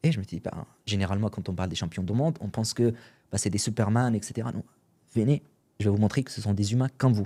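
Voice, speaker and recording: Long, frequent pauses in a dark, mellow tone with ordinary pitch variation, on a very clean recording with a silent background. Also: man. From Syria. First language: Arabic (speaking French). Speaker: entrepreneur and podcaster. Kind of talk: podcast interview. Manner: casual, hesitant with fillers.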